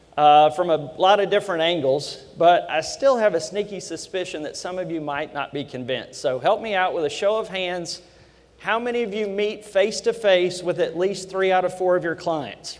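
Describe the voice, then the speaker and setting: A man talks with a Kentucky accent. His pitch is high, and it varies in an ordinary way. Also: moderate pace. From Kentucky, Lexington. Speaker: loan officer. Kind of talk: conference talk. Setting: stage with audience.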